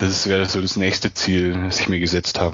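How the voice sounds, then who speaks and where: A man talks in a very deep, low pitch. His intonation is monotone and flat. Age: 20s. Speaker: freelance online marketer and travel blogger. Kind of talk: interview.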